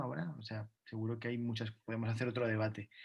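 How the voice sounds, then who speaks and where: A man speaks at a moderate pace, somewhat breathy. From Catalonia, Spain. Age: 30s. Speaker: dancer. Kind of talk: interview. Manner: halting.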